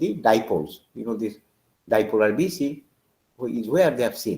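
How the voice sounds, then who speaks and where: A man's somewhat breathy voice has a dark, mellow tone and lively intonation as he talks at a fairly quick pace. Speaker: professor. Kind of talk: lecture.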